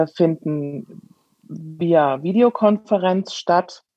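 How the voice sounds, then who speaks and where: A woman's fairly low-pitched voice. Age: 40s. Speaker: teacher. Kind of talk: interview. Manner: hesitant with many fillers.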